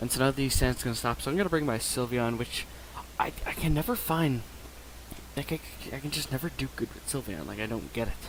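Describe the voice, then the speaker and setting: Against noticeable background noise, a man speaks at a fairly quick pace broken by long, frequent pauses. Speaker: gaming YouTuber. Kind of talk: gameplay commentary. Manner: fast; casual.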